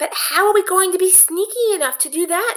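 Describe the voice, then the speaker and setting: A woman puts on a squeaky character voice at an extremely high pitch. She talks at a fairly quick pace. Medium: read story.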